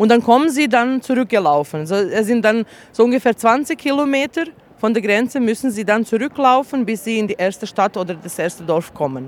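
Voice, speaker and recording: A woman's fairly quick delivery with lively intonation. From Bosnia. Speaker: refugee aid worker, human rights activist. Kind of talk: testimony at a tribunal. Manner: halting, with many fillers.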